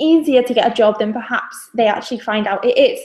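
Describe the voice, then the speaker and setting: In a northern English accent, a woman speaks at a fairly high pitch. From northern England. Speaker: graduate recruitment staff. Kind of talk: webinar presentation. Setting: video webinar. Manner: hesitant, many fillers.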